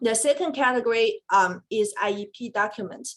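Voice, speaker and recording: A woman's fairly high-pitched voice at a moderate pace, in a Chinese accent. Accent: Mandarin Chinese-accented English. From China. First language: Mandarin Chinese. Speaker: special education attorney. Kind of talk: webinar presentation. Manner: hesitant, with frequent fillers.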